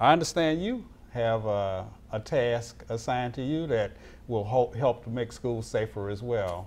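In an Alabama accent, a man speaks at a fairly slow pace with medium pitch and ordinary pitch variation. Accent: US Southern (Alabama). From Mobile, Alabama. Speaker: school resource officer and show host. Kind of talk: interview talk show. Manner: formal. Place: studio. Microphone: lapel.

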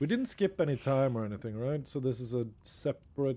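A man with a Norwegian accent speaks at a fairly quick pace. His tone is dark and mellow, with ordinary pitch variation. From Norway. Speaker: video game streamer. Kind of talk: casual live commentary while gaming. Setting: live stream. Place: home room. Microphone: studio mic.

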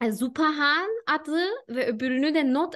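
Her intonation is lively as a woman talks. The background is quiet. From Germany (Turkish-German). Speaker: HR specialist; guest. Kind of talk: casual interview. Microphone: video call.

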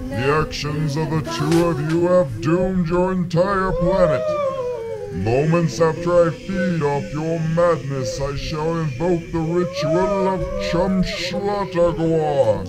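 A man's high-pitched, put-on character voice at a fairly slow pace, with loud background noise. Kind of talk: comic grandiose villain. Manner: pompous, menacing, theatrical.

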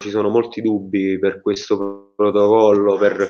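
Over a quiet background, a man speaks at a fairly slow pace. His pitch is fairly low, and his intonation stays monotone and flat. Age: 20s. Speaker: bereaved son; interviewee. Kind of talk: testimony. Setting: video call. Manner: halting. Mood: grieving, indignant. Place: home room. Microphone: video call.

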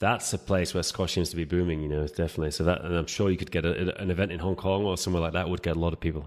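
Over a silent background in a very clean recording, a man with a very deep, low pitch talks very fast with fairly even intonation. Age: 40s. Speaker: podcast host. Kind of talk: casual interview. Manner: halting, repeats words.

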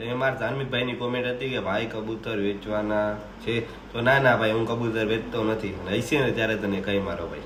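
Amid noticeable background noise and audible room echo, a man speaks at medium pitch with fairly even intonation. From Gujarat, India (Saurashtra). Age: young. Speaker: vlogger, pigeon keeper. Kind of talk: casual Q&A vlog.

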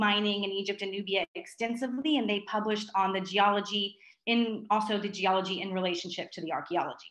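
Against a quiet background with audible room echo, a woman speaks with ordinary pitch variation. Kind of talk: lecture. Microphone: video call.

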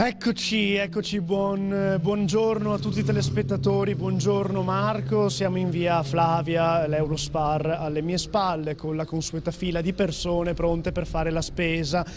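A man's high voice, fairly slow with hardly any pauses and ordinary pitch variation, over noticeable background noise. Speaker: field reporter. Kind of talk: live field report. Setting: outdoors. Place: street. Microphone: handheld.

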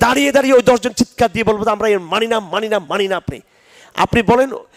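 Recorded dry and close with no echo, a man with a high-pitched voice speaks in an animated tone over noticeable background noise. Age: 50s. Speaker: Islamic scholar. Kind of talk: religious lecture with Q&A.

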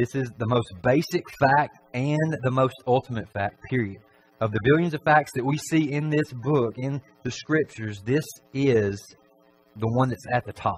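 Ordinary pitch variation from a man at a moderate pace, with faint music in the background. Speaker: preacher. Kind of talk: sermon. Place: church.

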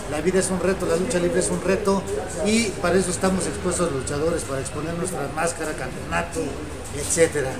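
A man speaks fairly fast as noticeable background noise continues. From Mexico City. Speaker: masked wrestler and arena promoter. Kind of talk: interview. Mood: confident, respectful challenge talk. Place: studio.

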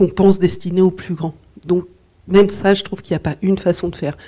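A woman's somewhat breathy, dark, mellow tone at a fairly low pitch. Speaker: children's author and illustrator. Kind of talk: talk at a literary event. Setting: book fair talk before an audience. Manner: hesitant, with fillers.

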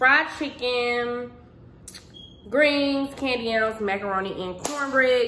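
A woman's voice carries audible room echo, with light background noise behind it. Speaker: home cooking vlogger. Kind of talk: casual vlog chat. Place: kitchen. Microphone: phone near.

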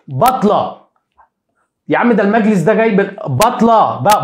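A man speaks with an animated tone and lively intonation at a moderate pace. Audible room echo comes through over a quiet background. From Egypt. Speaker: sports YouTuber, football commentator; sports news commentator. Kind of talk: live stream monologue on football news; commentary. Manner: animated, repetitive emphasis. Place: home room. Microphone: lapel.

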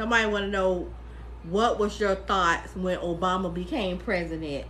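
A woman speaks at a moderate pace and a medium pitch. Her intonation stays fairly even.

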